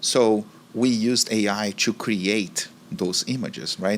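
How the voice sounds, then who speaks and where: A man's medium-pitched voice with a Brazilian accent. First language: Portuguese. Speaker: marketing executive. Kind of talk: interview.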